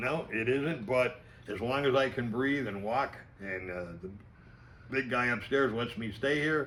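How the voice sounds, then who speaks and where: A man speaks at a fairly slow pace and a medium pitch. His is a plain, everyday voice with ordinary pitch variation. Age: 60s. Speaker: fishing lure maker. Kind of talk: casual interview.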